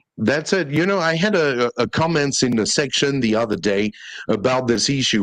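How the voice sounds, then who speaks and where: Against a quiet background, a man with a French accent speaks at a medium pitch. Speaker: ESL teacher and live stream host. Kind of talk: live stream panel discussion. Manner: halting.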